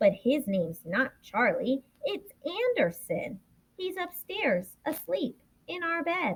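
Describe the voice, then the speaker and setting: In a put-on character voice, a woman projects a raised, high-pitched voice at a fairly slow pace. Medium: read story.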